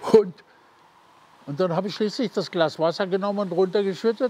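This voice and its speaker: The man's high pitch carries ordinary pitch variation. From Germany. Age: 80s+. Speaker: World War II veteran and former prisoner of war. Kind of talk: eyewitness interview answer. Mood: lively, at times amused. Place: forest. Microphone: lapel.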